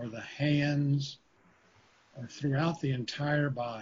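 Somewhat breathy and soothing, a man speaks very slowly in a gentle tone at a fairly high pitch, keeping his intonation fairly even. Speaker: meditation teacher and university faculty. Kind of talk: guided meditation with slow spoken cues. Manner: slow, soothing, repetitive phrasing; gentle, calm pacing with pauses.

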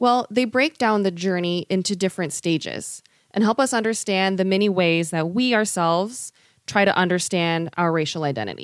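With an American accent, a woman speaks at a moderate pace and medium pitch, showing ordinary pitch variation and very even loudness on a very clean recording with a silent background. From US West Coast, San Francisco Bay Area. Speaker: public education worker. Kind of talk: explanatory discussion.

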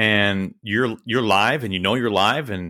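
Speaking at a moderate pace, a man with an American accent has a bright, sharp tone and ordinary pitch variation. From Kansas City. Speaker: baseball play-by-play announcer. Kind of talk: casual interview chat. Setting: recorded remotely, video call.

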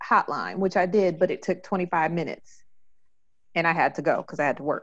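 A plain, everyday voice from a woman at medium pitch and moderate pace, over a quiet background. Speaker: podcast host. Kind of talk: casual interview chat.

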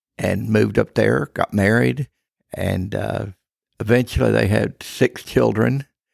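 With an American accent, a man speaks at a fairly slow pace in a very deep, low pitch with vocal fry and very wide pitch swings, the sound dry and close with no echo. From Texas Panhandle. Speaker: church elder. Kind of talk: interview testimony.

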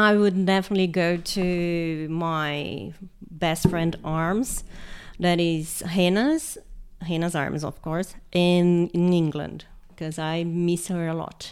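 This woman speaks at a very slow pace with a Portuguese accent and fairly even intonation, her voice fairly low in pitch. The recording is very clean, with a silent background. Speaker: history teacher. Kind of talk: casual interview.

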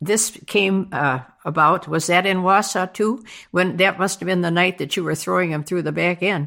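This woman has a bright, sharp tone with vocal fry. She talks at a moderate pace with ordinary pitch variation. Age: 80s+. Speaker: veteran curler. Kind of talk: interview. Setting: home basement bar.

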